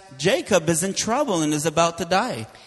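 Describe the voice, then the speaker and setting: The voice moves in very wide pitch swings against noticeable background noise. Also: man. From Israel. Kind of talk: sermon with interpreter.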